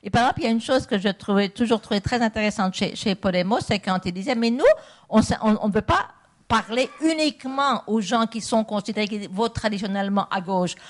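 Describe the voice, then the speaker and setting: A woman speaks fairly quickly in an unremarkable speaking voice. Her pitch sits fairly high, with ordinary pitch variation. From Belgium. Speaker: political philosopher. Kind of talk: public debate. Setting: stage with audience. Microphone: handheld mic held close.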